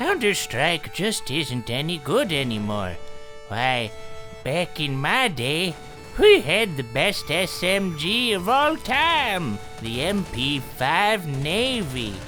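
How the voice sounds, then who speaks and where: A man speaks very slowly in a put-on character voice, fairly high in pitch, over loud background music. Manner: reminiscing and complaining.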